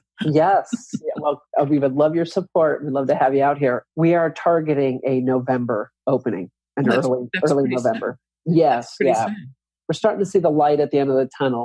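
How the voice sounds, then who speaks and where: The voice has a dark, mellow tone and moves at a fairly quick pace. Pitch variation is ordinary, and the recording is dry and close with no echo. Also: man, fairly high pitch for a man. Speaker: real estate developer. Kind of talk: podcast interview answer.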